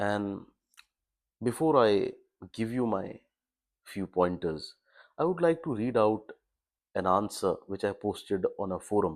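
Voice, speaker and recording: A man with an Indian accent and a fairly low pitch speaks with lively intonation and long, frequent pauses. The recording is very clean, with a silent background. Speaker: vlogger, former business owner. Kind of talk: casual vlog commentary. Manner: halting, with fillers.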